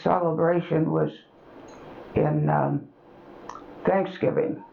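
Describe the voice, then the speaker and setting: Noticeable background noise sits behind the recording. A woman with an American accent speaks at a very slow pace. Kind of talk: oral history interview answer.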